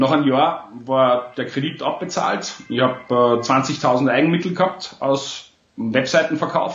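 At a fairly slow pace, a man speaks with an Austrian accent. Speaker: entrepreneur. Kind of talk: interview.

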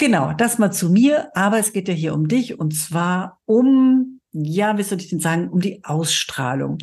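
A woman at medium pitch, somewhat breathy, fairly slow, with lively intonation and hardly any pauses. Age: 50s. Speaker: podcast host and cosmetics sales trainer. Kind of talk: solo podcast monologue. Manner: animated.

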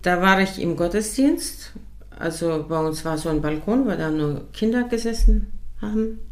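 A woman talks at a fairly slow pace with lively intonation and a fairly low pitch. The room echo is audible. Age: 60s. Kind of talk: casual faith conversation, testimony.

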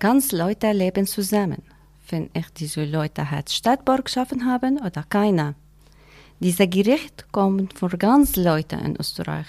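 A woman with a non-native accent speaks fairly slowly at a medium pitch, with lively intonation and a dark, mellow tone. The recording is very clean, with a silent background. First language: not German (speaking German). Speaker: migrant mother, workshop participant. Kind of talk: interview question. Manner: halting.

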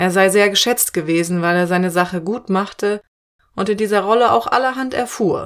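A woman uses a normal speaking voice with a medium pitch, ordinary pitch variation and a moderate pace. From Cologne, Germany. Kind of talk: scripted narration. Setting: outdoors.

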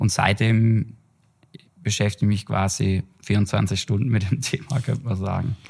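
A somewhat breathy man with a fairly low pitch, at a moderate pace with long, frequent pauses. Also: ordinary pitch variation. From Germany, Heilbronn area (Baden-Württemberg). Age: 30s. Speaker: trend researcher and consultancy director. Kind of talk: podcast interview. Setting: in person together.

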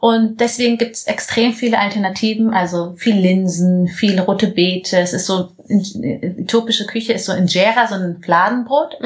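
Noticeable background noise sits behind a woman's medium-pitched voice. She speaks at a moderate pace with ordinary pitch variation. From Bavaria, Munich area. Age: 20s. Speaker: social entrepreneur, former model. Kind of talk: interview. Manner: halting.

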